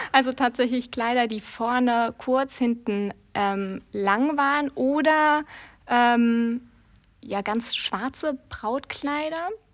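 On a very clean recording with a silent background, the speaker talks at a very slow pace with ordinary pitch variation. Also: woman, high pitch for a woman. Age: 30s. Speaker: wedding planner. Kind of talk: interview.

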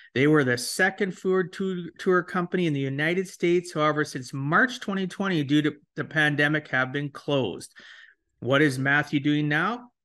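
Against a quiet background, a man talks at a moderate pace in a fairly high pitch, with a bright, sharp tone and ordinary pitch variation. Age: 50s. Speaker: podcast host and financial planner. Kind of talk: interview podcast.

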